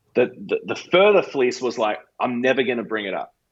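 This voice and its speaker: A man with an Australian accent talks at a moderate pace. His pitch varies in an ordinary way. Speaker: pastor. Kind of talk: podcast interview answer.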